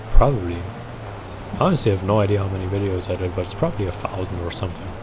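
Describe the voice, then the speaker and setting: A man's very deep, low voice at a very fast pace, fairly even in intonation but with big swings in loudness, amid audible room echo and background music. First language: German. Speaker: gaming YouTuber. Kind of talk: gameplay commentary. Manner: casual, rambling.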